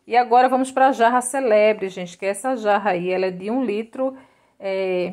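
In a quiet background, a woman's speech shows ordinary pitch variation. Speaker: YouTube vlogger and bargain shopper. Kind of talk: casual vlog chat. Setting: shopping mall, walking through a store. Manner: animated, fast, repeating prices and 'minha gente' like a market pitchman; enthusiastic, gushing praise over each item. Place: shop. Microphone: phone near.

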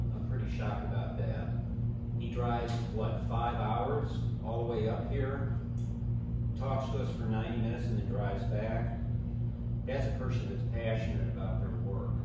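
Music plays in the background as a man speaks at a fairly slow pace. There is audible room echo. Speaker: group leader or host. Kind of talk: informal talk to a group. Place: meeting room.

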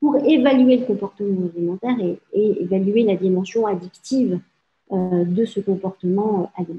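A woman's somewhat breathy voice with lively intonation at a moderate pace. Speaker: psychiatrist and addiction specialist professor; presenter. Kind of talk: lecture. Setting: video call. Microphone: webcam.

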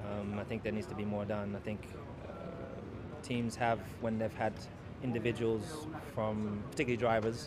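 A man speaks at a moderate pace. The sound is dry with no echo, over noticeable background noise. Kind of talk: interview answer. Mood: serious, measured. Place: street. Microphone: handheld.

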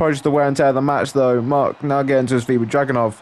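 A man's fairly high, monotone voice with flat intonation over noticeable background noise. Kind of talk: wrestling commentary over game footage, play-by-play with casual banter. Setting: gameplay video, solo narration.

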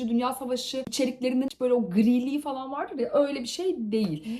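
Here a woman talks at a fairly quick pace. Her tone is animated. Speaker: youtuber reviewing books and shows. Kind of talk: casual chat to camera. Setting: on location at a conference trip.

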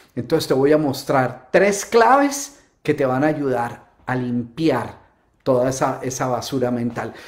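A man's animated, fairly high-pitched voice at a fairly slow pace, with ordinary pitch variation and a quiet background. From Colombia, Bogotá. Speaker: motivational speaker. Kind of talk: live-stream talk. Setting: home. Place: home room.

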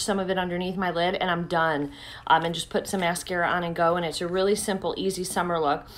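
At a fairly quick pace, a woman speaks. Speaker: beauty vlogger. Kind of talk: casual vlog chat. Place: home room. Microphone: phone near.

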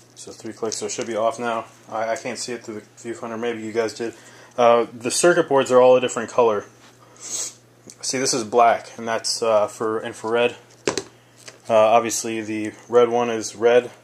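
Over noticeable background noise, a man with a medium pitch speaks in a monotone, flat intonation. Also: moderate pace. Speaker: military veteran. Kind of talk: casual product review to camera.

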